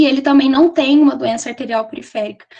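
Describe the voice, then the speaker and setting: A woman's voice with ordinary pitch variation. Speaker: nursing student presenter. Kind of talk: lecture. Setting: webinar. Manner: fast.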